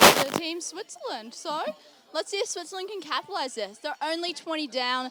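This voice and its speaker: A woman uses a raised, projected voice at an extremely high pitch, with very wide pitch swings and big swings in loudness. She keeps a moderate pace over noticeable background noise. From Australia, Sydney. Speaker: sports commentator. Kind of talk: live commentary.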